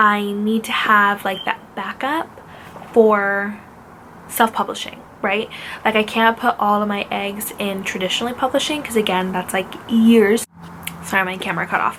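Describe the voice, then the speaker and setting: Here a woman has an unremarkable speaking voice at medium pitch. Her pace is moderate and her intonation fairly even. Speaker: author vlogger. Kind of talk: casual chat.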